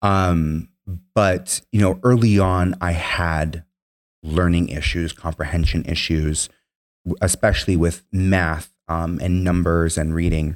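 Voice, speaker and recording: A man with a very deep, low pitch and an American accent, very slow pace and fairly even intonation, on a very clean recording over a silent background. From Minnesota, US. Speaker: Marine veteran and political organizer. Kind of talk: interview.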